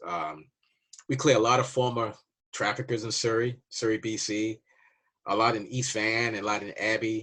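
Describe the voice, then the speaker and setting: A man of medium pitch speaks with an American accent. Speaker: immigration waiver consultant. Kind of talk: casual informational monologue. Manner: conversational, loose.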